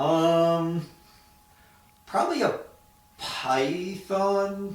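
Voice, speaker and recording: A man with a high pitch and ordinary pitch variation talks amid audible room echo and noticeable background noise. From Florida, US. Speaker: Peace Corps volunteer teacher. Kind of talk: casual interview. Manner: hesitant, many fillers.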